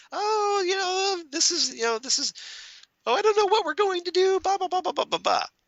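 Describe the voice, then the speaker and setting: A man puts on a squeaky character voice at an extremely high pitch. He talks at a fairly quick pace. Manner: excitable, flailing, fussing.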